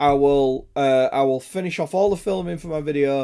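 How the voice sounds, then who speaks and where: Recorded very cleanly against a silent background, a man with an English accent talks at a fairly high pitch with ordinary pitch variation. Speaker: gaming live streamer. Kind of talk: casual chat. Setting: live stream.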